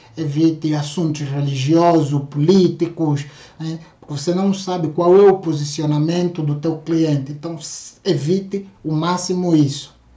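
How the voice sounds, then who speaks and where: A man with a fairly high pitch talks at a fairly slow pace, and audible room echo surrounds his voice. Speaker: sales trainer. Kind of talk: online course lecture.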